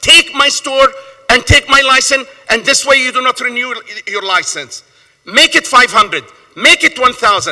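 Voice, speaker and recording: A man speaks in a raised, projected voice at an extremely high pitch. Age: 60s. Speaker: small store owner testifying at a hearing. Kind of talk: public hearing testimony. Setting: council hearing room. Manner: impassioned, emphatic; repetitive, stammering at times.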